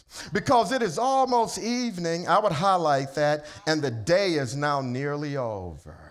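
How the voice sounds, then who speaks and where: Animated in tone, a man speaks at a fairly slow pace with very wide pitch swings. The recording is very clean, with a silent background. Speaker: preacher. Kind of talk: sermon. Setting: church. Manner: animated, preacher in full flow, call-and-response fervor; casual and joking between serious points.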